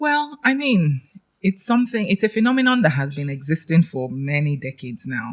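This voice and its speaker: Very wide pitch swings at a fairly quick pace, in a Nigerian accent, with a dry, close sound and no echo. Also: woman, fairly low pitch for a woman. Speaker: trainer and educator. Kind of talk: podcast interview. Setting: studio.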